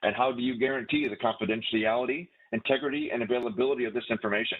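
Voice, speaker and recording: This man talks at a very fast pace in a medium pitch. His pitch varies in an ordinary way. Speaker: class instructor. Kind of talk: lecture. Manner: halting.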